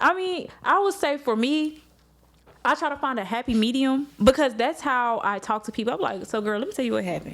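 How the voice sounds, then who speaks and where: Speaking at a fairly quick pace with a slight country accent, a woman uses a high pitch and lively intonation. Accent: slight country twang. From Arkansas, Little Rock. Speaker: news reporter and anchor. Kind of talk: casual chat. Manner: animated.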